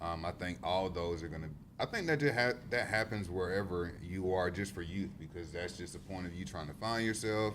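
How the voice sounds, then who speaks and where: Speaking at a fairly quick pace with a Southern US accent, a man uses a very deep, low pitch and ordinary pitch variation. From South Carolina upstate (Greenwood). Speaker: youth worker. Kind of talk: podcast discussion.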